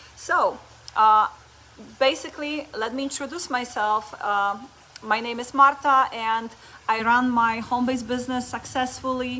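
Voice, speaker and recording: With noticeable background noise, a woman speaks in a Polish accent at high pitch with fairly even intonation. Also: moderate pace. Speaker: network marketing coach. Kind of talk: motivational talk. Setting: Facebook live stream. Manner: halting.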